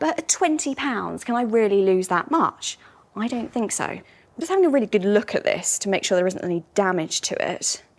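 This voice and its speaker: Over noticeable background noise, a woman with a British accent talks at a fairly quick pace with very wide pitch swings. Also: fairly high pitch for a woman. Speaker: antiques expert. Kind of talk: casual presenting to camera.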